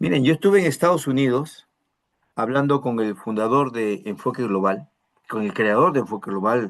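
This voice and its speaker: A man's voice at medium pitch. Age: 60s. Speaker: pastor. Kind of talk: sermon.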